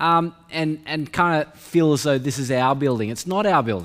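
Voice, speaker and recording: The pitch varies in an ordinary way over a quiet background. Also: man. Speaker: preacher. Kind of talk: sermon. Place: church. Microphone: podium.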